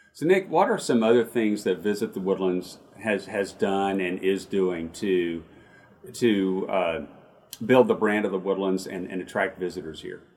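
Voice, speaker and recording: A plain, everyday voice, moderately paced, its intonation fairly even. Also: man, fairly low pitch for a man. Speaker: chamber of commerce CEO, podcast host. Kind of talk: interview chat. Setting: video call.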